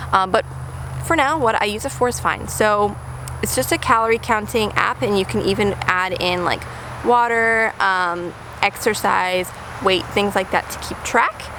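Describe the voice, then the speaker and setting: Noticeable background noise sits behind a woman speaking at medium pitch with ordinary pitch variation. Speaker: lifestyle vlogger. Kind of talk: casual vlog talk to camera. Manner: fast; many fillers like um and uh.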